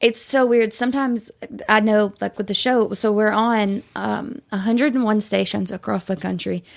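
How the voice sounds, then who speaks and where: A strong Southern accent at a moderate pace, fairly even in intonation, on a very clean recording with a silent background. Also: woman, fairly high pitch for a woman. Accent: thick Southern. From Tennessee, Shelbyville. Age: 20s. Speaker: radio host. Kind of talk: casual chat.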